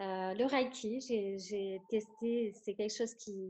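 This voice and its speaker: Fairly even intonation in a woman's dark, mellow tone. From northern France, near Lille. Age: 30s. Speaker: sustainable food consultant. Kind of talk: interview. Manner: halting, many repetitions.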